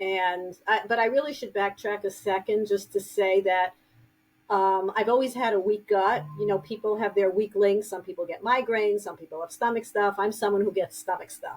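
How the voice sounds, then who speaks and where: A woman of medium pitch with a New York accent. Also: fairly even intonation, moderate pace. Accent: heavy New York. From New York City (Brooklyn, Queens). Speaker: grief counselor and author. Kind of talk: interview podcast.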